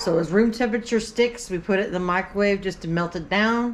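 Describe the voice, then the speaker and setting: With a Southern US accent, a woman talks at a fairly quick pace in a medium pitch with ordinary pitch variation. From US South. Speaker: cooking vlogger. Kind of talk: cooking tutorial. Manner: fast.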